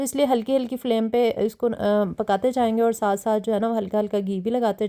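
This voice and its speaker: A woman with a fairly high pitch and a dark, mellow tone shows ordinary pitch variation on a very clean recording with a silent background. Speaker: cooking vlogger. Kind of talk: cooking tutorial. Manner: chatty, with many fillers.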